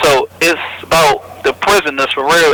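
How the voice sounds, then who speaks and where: A man is heard with a dry, close sound and no echo. Noticeable background noise runs behind him. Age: 20s. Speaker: federal prison inmate. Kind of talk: interview.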